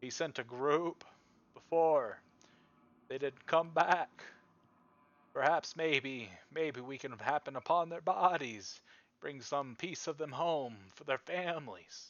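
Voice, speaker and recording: A man uses a put-on character voice pitched fairly high. He talks at a fairly slow pace, with long, frequent pauses. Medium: actual play. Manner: formal, old-fashioned.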